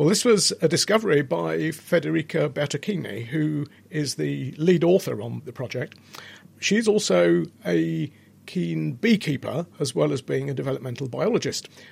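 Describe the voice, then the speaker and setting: Using vocal fry, a man speaks at a moderate pace and a fairly high pitch, with very wide pitch swings. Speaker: biochemist. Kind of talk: interview.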